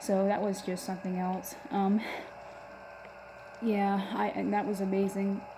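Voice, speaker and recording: Intonation stays monotone and flat, with noticeable background noise behind the voice. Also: woman. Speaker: metal fan vlogger. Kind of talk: casual talk to camera. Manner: stuttering, hesitant.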